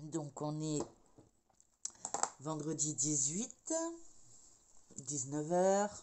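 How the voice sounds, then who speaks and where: A soft-spoken woman with a very deep, low voice talks at a very slow pace, with long, frequent pauses and ordinary pitch variation. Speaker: crafting vlogger. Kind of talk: casual vlog chat. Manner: hesitant, many fillers.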